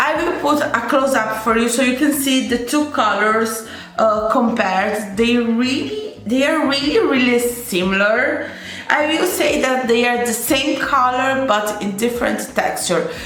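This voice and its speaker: At a high pitch and a fairly slow pace, a woman with a non-native accent keeps her loudness very even, with audible room echo and noticeable background noise. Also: ordinary pitch variation. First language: not English. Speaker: beauty youtuber. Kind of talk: makeup tutorial with swatches. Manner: hesitant, with many fillers and restarts; enthusiastic.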